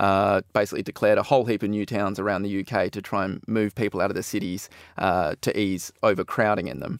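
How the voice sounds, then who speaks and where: A man talks very fast in a fairly low pitch, with a dry, close sound with no echo in a very clean recording over a silent background. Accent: Australian. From Perth, Western Australia. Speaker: researcher. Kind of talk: casual radio chat.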